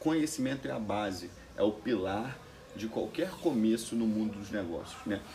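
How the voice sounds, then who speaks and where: At a moderate pace, a man talks in a plain, everyday voice at medium pitch, with lively intonation. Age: 20s. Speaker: entrepreneur. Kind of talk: interview.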